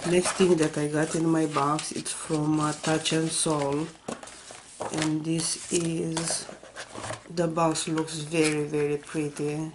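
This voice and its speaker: A woman speaks very slowly in a very deep, low pitch and a flat monotone. Noticeable background noise runs underneath. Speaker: beauty vlogger. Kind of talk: unboxing video. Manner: casual, uses many fillers.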